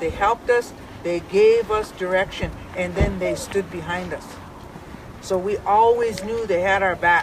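Over noticeable background noise, a woman in an American accent talks at a fairly slow pace. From US Great Plains. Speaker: elder and camp coordinator. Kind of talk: address to a gathering. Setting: outdoors at a protest camp. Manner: firm. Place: open country.

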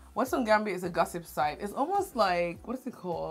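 Over light background noise, a woman speaks at a fairly quick pace with ordinary pitch variation. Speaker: channel host. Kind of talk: casual vlog chat. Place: home room.

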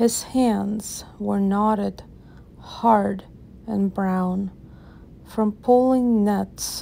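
Very slow and marked by long, frequent pauses, a woman's medium-pitched voice has a dark, mellow, gentle and calm tone, with monotone, flat intonation. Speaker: channel host reading a poem. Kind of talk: poem reading aloud, ASMR-style. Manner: slow, soft-spoken, gentle; measured, calm, with rhythmic pacing.

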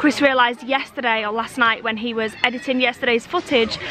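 A raised, projected voice rushes at a very fast pace, dry with no echo, over faint music in the background. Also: woman. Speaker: family vlogger. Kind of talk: casual vlog chat. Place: open country. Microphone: phone near.

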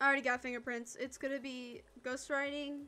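A woman's high-pitched, raised and projected voice, bright and sharp in tone, at a moderate pace. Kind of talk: casual chat. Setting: online multiplayer game stream.

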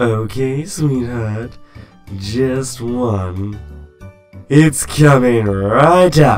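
A man performs a put-on character voice at a medium pitch and a very slow pace, with faint music in the background. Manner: flirtatious, theatrical.

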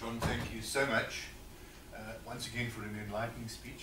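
Against noticeable background noise, a man at medium pitch speaks at a fairly quick pace. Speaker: business chamber event host. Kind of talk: event introduction. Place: hall. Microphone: amateur recording by an attendee, poor sound; camera far.

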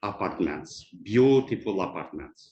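Someone with a non-native accent speaks with ordinary pitch variation against a quiet background. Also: man. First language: not English. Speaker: property developer. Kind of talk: public comment at council meeting. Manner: halting.

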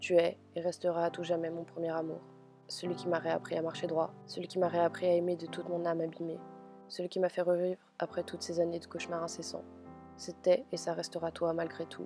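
A woman's fairly low, monotone voice with flat intonation at a fairly quick pace, over music in the background. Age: young. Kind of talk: emotional spoken-word text reading.

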